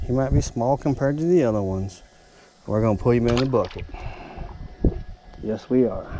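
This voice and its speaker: A man with a Southern US accent at medium pitch, ordinary pitch variation and long, frequent pauses, amid noticeable background noise. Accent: southern drawl. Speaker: outdoors vlogger. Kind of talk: casual fishing vlog commentary. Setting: outdoors on a boat dock. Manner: animated.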